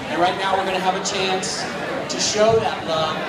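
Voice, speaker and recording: Loud background noise under a man's moderate-tempo speech. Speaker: fundraising auctioneer. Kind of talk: charity fund-a-need auction calling. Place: hall. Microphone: pa.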